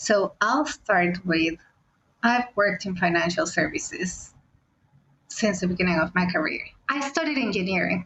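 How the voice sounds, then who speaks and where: Speaking with a non-native accent, a woman uses lively intonation and takes long, frequent pauses. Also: medium pitch for a woman, moderate pace. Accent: foreign, non-British. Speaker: fintech product leader. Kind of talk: interview conversation.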